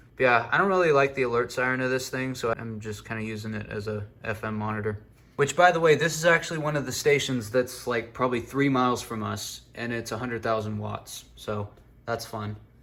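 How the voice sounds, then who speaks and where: This man is soft-spoken, with a medium pitch and ordinary pitch variation. He talks at a fairly quick pace. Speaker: radio and weather alert hobbyist. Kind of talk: casual room tour. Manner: quiet, soft-spoken.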